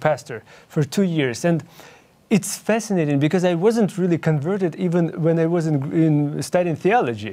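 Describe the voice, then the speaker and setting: A man speaks with a Ukrainian accent. His tone is dark and mellow. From Ukraine. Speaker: young adult Bible study leader. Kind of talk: interview. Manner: halting.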